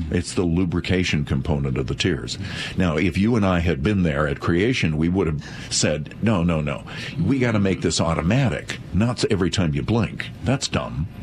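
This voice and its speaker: A man's very deep, low voice with lively intonation, very even loudness, a moderate pace, and noticeable background noise. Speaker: eye doctor. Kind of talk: live call-in radio show.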